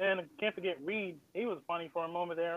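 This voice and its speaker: This is a man with an East Coast US accent. His voice is high. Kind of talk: casual chat.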